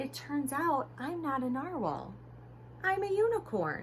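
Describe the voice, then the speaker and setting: With clear background noise, a female-sounding put-on character voice speaks at a fairly slow pace in a timid tone. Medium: read story.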